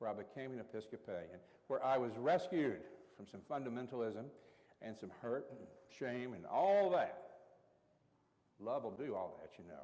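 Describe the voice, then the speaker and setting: A man's medium-pitched voice in a dark, mellow tone with an Appalachian accent, very wide pitch swings, big swings in loudness, a moderate pace and long, frequent pauses. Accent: Appalachian Southern US. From East Tennessee, Appalachia (Carter County). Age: 60s. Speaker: Episcopal priest. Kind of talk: workshop talk.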